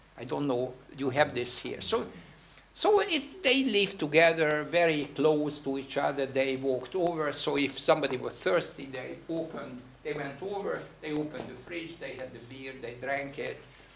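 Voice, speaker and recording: A man with a Hungarian accent and a fairly high pitch, moderate pace, big swings in loudness, audible room echo and noticeable background noise. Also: ordinary pitch variation. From Hungary. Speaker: theatre director. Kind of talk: guest talk. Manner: halting.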